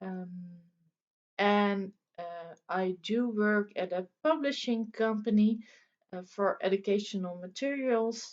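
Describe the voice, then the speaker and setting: Speaking very slowly in a non-native accent, a woman uses a medium pitch with ordinary pitch variation. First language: Dutch. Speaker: crafting video host. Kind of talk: casual vlog chat. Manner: halting with many fillers.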